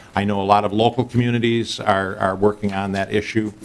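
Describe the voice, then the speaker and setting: A man's fairly low voice in a monotone, flat intonation. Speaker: state health commissioner. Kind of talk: committee testimony. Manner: fast.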